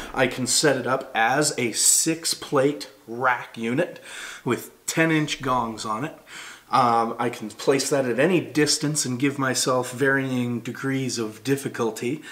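A man speaks at a fairly slow pace. His intonation stays fairly even. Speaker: product reviewer. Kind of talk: product review talk. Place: home room.

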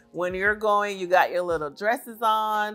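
Faint background music behind a woman's moderately paced speech. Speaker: beauty vlogger. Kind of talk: casual haul review chat. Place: home room. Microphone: lapel.

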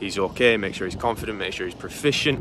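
A man's voice comes through with a dry sound with no echo, along with noticeable background noise. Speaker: flight instructor vlogger. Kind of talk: casual vlog chat. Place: open country. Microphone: phone near.

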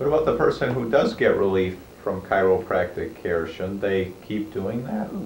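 Audible room echo and light background noise surround a man speaking at a moderate pace. His pitch is fairly low, with ordinary pitch variation. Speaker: physician. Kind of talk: interview. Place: studio.

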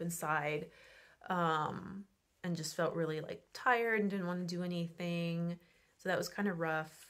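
Fairly quick, flat, monotone speech from a fairly low-pitched woman against a quiet background. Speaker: travel vlogger. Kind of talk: casual vlog chat. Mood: relaxed, reflective. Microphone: phone near.

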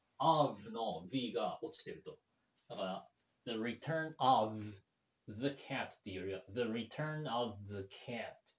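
A somewhat breathy man at a very slow pace, with lively intonation, big swings in loudness, long, frequent pauses and audible room echo. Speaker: English learner YouTuber. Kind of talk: language-learning commentary. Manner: halting, many fillers. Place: home room.

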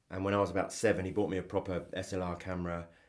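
A man with a southern English accent speaks at a fairly quick pace. His very deep, low voice keeps a monotone, flat intonation. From England, Cambridge. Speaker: photographer. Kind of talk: interview.

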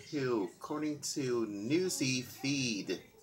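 There is light background noise as a man speaks. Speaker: home vlogger on news. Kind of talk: casual news commentary. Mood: amused, mock exasperated. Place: home room. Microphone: webcam.

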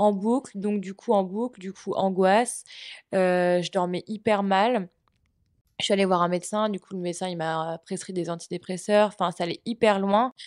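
In a dry, close sound with no echo and a quiet background, a woman speaks at a medium pitch and a moderate pace with fairly even intonation. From Brittany, France. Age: 20s. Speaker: communication student. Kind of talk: personal testimony interview. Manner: halting, many hesitations.

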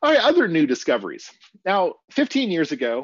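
A man's voice with very wide pitch swings, dry with no echo, over a quiet background. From US Midwest, small-town Kansas. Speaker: professor, paleoanthropologist; professor giving a talk. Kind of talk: lecture. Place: home room.

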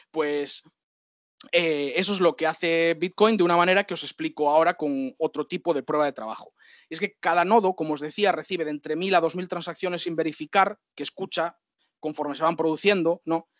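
A high-pitched man at a fairly quick pace, fairly even in intonation, with a dry sound with no echo and a quiet background. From Galicia, Spain (Santiago de Compostela); Galicia. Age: 50s. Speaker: systems administrator and bitcoin educator; bitcoin educator. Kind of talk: lecture. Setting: video call. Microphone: video call.

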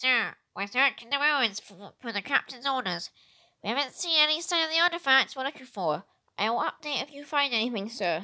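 A female-sounding voice puts on a high-pitched character voice. The delivery moves at a fairly quick pace. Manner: stiff, military report.

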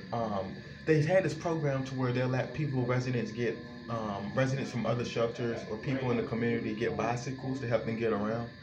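A man talking at a fairly quick pace, with clear music in the background. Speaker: vlogger describing a shelter resource center. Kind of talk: casual vlog chat. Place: bathroom. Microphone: phone near.

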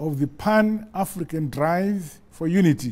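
At a very slow pace, a man talks. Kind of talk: formal national address. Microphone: lapel.

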